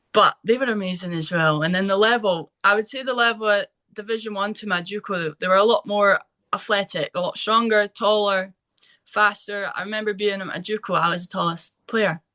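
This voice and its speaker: Woman at medium pitch with a bright, sharp tone, moderate pace, ordinary pitch variation, dry and close sound with no echo. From Scotland, East Lothian. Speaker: former college soccer player. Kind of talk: interview.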